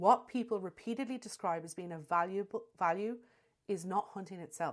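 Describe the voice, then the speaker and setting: A woman speaks at a medium pitch with ordinary pitch variation and big swings in loudness. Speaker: animal behaviourist podcaster. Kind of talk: scripted commentary. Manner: fast.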